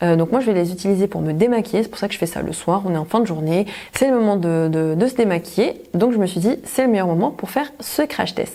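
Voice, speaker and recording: A woman at medium pitch with lively intonation, a fairly quick pace and hardly any pauses, amid noticeable background noise. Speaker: beauty vlogger. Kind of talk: product review tutorial.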